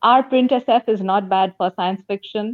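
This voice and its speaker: Using a plain, everyday voice, a woman speaks at a fairly high pitch with ordinary pitch variation and a moderate pace. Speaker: book and comics reviewer. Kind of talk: casual chat. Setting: video call.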